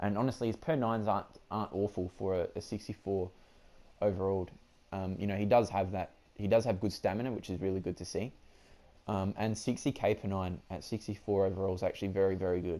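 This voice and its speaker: A man speaks very fast in an Australian accent, his pitch fairly low and his tone dark and mellow. The intonation stays fairly even, and the recording is very clean with a silent background. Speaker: gaming YouTuber. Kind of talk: gameplay commentary. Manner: casual, hesitant with many fillers.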